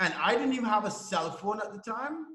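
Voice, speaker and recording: A man projects his raised voice into a room with audible echo. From Trinidad and Tobago. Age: 30s. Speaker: online entrepreneur. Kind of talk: interview. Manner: casual, with fillers and restarts.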